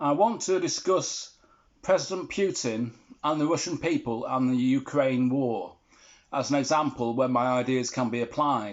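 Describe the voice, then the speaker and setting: Speaking at a moderate pace with an English accent, a man uses a medium pitch with ordinary pitch variation. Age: 60s. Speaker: vlogger. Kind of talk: monologue to camera.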